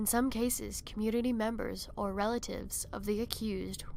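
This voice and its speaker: A woman speaks at a moderate pace and a medium pitch. Her voice has vocal fry. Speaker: horror narrator. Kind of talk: folklore fact narration. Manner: some stuttering.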